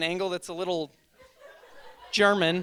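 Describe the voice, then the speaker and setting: A man is speaking. His voice sits high in pitch. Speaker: stand-up comedian. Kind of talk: stand-up. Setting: stage with audience. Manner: halting, many ums.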